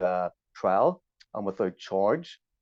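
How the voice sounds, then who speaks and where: A man is speaking. He has a Belfast accent. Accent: Belfast Northern Irish. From Northern Ireland, Belfast. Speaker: journalist and activist. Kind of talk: interview.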